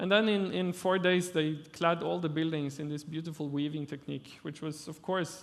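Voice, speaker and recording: A man with a Norwegian accent, fairly high-pitched, at a moderate pace and with fairly even intonation. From Norway. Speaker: architect. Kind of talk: lecture. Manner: halting.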